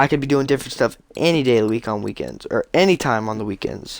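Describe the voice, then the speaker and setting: A man talks at a very fast pace. The sound is dry and close, with no echo. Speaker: gaming youtuber. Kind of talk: gameplay commentary.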